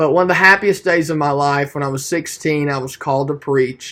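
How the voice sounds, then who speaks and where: With an East Tennessee accent, a man talks in a fairly high pitch with a bright, sharp tone and ordinary pitch variation, on a very clean recording with a silent background. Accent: Southern US (East Tennessee). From Tennessee (Maryville). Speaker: student preacher. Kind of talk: class speech. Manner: hesitant, many fillers.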